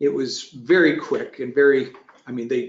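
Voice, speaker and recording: An American-accented man's voice at a moderate pace. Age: 60s. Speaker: retired manufacturing business owner. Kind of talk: webinar roundtable discussion. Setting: online webinar. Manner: halting, many restarts.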